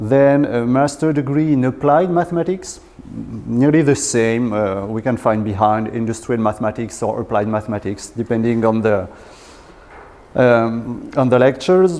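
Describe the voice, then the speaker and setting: A man with a southwestern French accent talks at medium pitch and a moderate pace, with ordinary pitch variation, against noticeable background noise. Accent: French accent, from Southwest France. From Southwest France. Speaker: research engineer in statistics. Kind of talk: lecture. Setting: lecture hall with audience. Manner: halting, many fillers.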